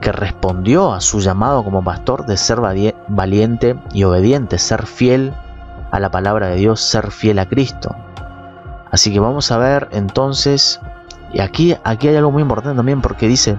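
Faint music sits in the background as a man talks at a moderate pace with a fairly low pitch, the sound dry with no echo. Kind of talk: commentary. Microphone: studio mic.

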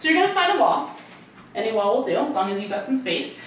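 A woman speaks over noticeable background noise. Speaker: barre fitness instructor. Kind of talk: follow-along workout class cueing reps and counts. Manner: upbeat, encouraging, counting down pulses briskly; warm, giggly, chatty asides.

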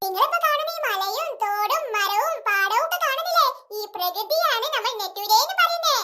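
A woman does a cartoonish character voice at an extremely high pitch, in a pompous tone. Her pitch swings very widely at a moderate pace. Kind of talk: comic overacting. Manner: bossy, pompous.

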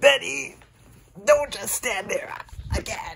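A put-on character voice, high in pitch, delivers its lines at a fairly slow pace. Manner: casual, offhand.

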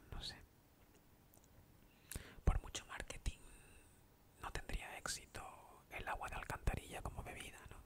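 A man whispers at a fairly slow pace. He leaves long, frequent pauses. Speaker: ASMR video maker. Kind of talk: casual talk to camera. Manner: soft-spoken, whispered. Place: home room. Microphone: studio mic.

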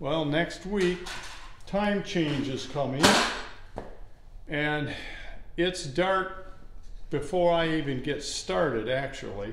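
Speech comes at a very slow pace with long, frequent pauses, over light background noise and with audible room echo. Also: man, ordinary pitch variation. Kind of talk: casual tutorial vlog. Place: garage. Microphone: phone near.

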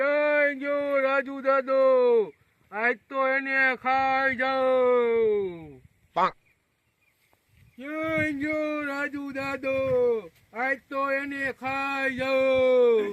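A man's put-on character voice, extremely high in pitch and very slow in pace. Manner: spooky, menacing.

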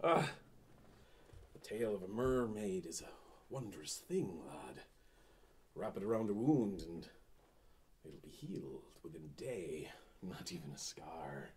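A man's put-on character voice, fairly low in pitch, fairly slow, with long, frequent pauses. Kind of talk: pirate stage speech, comic overacting. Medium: short film. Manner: grandiose, mocking, storytelling.

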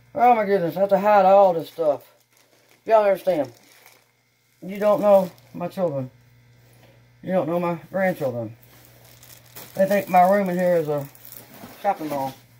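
Long, frequent pauses in a Texan accent. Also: moderate pace. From Texas. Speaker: YouTuber doing unboxing videos. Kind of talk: casual unboxing vlog. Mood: cheerful, excited. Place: home room. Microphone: camera far.

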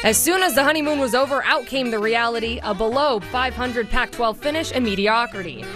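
Against clear music in the background, a woman with a high pitch talks at a fairly quick pace in a dry sound with no echo. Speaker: sports reporter. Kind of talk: TV sports news anchoring. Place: studio.

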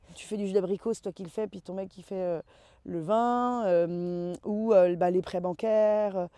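Recorded dry with no echo over a quiet background, a woman speaks with a dark, mellow tone and fairly even intonation. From western France, Loire-Atlantique. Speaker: winemaker. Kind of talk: interview. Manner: hesitant with many fillers. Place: open country.

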